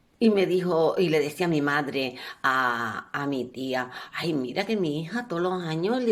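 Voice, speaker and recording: In a rural Canarian accent, a woman with a very deep, low pitch speaks at a moderate pace, using very wide pitch swings. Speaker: professional storyteller. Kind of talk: storytelling, elder telling a life story from childhood. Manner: warm, homely, narrating with diminutives and a folksy tone; animated, with repetitions and a few hesitations.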